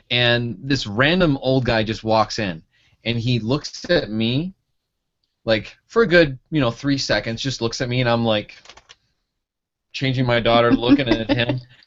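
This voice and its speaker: This man speaks at a fairly slow pace with long, frequent pauses. His pitch varies in an ordinary way. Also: medium pitch for a man. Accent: Michigan. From Michigan. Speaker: pharmacy school advisor, blogger. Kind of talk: casual interview.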